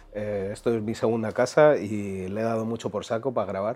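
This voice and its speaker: A man's fairly low voice in a Madrid accent at a moderate pace. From Madrid, Spain (east, Quintana). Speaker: singer and rapper. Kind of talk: casual chat. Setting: studio with video recording.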